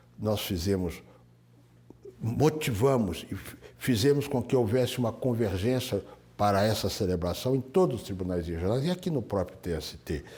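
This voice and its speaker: A man's dark, mellow tone comes through at a moderate pace with ordinary pitch variation. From Minas Gerais, Brazil. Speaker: retired high court judge. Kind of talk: oral history interview answer.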